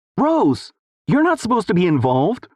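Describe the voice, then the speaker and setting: A put-on character voice, fairly high in pitch, with very wide pitch swings and a fairly quick pace. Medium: read story.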